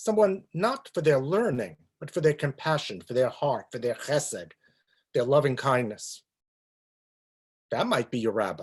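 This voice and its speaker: Over a very clean recording with a silent background, a man with a New York accent talks at a moderate pace and a fairly high pitch, using vocal fry, very wide pitch swings, and long, frequent pauses. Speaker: rabbi. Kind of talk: talk on a religious topic.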